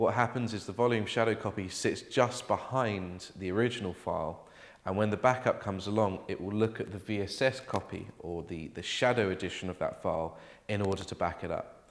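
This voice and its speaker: A plain, everyday voice at a fairly quick pace, with ordinary pitch variation. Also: man, fairly low pitch for a man. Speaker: presenter. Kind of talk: tutorial. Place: office.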